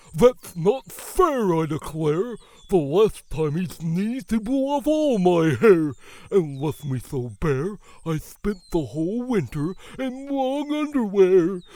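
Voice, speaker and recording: A man puts on a character voice, pitched high with very wide swings. He speaks at a fairly slow pace. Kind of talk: children's picture book read-aloud. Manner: indignant, complaining.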